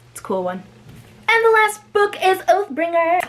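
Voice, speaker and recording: A woman talks in an animated tone with very wide pitch swings. There is noticeable background noise. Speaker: booktuber. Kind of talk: casual vlog talk to camera.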